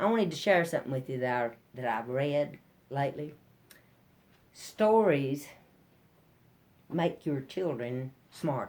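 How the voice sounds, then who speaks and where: A woman speaks with a Southern Appalachian accent. Her pitch is very deep and low. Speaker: storyteller, ballad singer, banjo player. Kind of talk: live storytelling to an audience.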